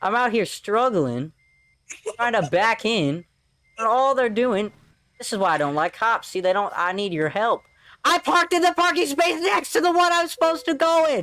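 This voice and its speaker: An animated, raised and projected voice, bright and sharp in tone, with very wide pitch swings and an American accent. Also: man, extremely high pitch for a man, moderate pace. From US South. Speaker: gaming YouTuber and podcast host. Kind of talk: casual chat while playing a video game.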